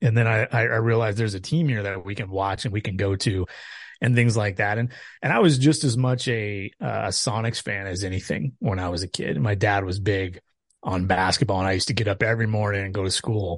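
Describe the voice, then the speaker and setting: A man with an American accent speaks at a fairly quick pace in an ordinary speaking voice, his fairly low pitch showing ordinary variation over a quiet background. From Tacoma, Washington. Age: 40s. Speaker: baseball analyst and writer. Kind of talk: casual chat.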